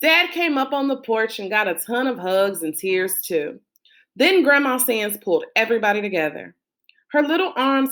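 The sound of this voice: Over a quiet background, an unforced reading voice moves with lively intonation.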